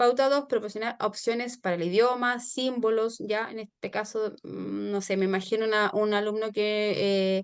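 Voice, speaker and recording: A woman's fairly high-pitched voice at a moderate pace, with hardly any pauses and fairly even intonation. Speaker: teacher. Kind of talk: online lecture. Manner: hesitant, many fillers.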